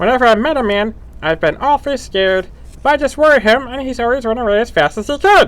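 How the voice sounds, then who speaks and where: This is a put-on character voice with a fairly high pitch. It moves at a very fast pace. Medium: read story. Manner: sorrowful, self-pitying.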